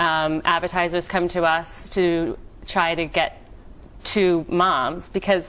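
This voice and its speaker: A woman with an American accent speaks at a very slow pace in a fairly low pitch, her intonation flat and monotone and her loudness very even. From United States. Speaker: entrepreneur. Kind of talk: TV interview.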